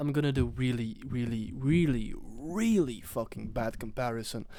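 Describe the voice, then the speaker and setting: His tone comes across as dark and mellow. This man's pitch is in the medium range. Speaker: podcast host. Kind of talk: casual chat.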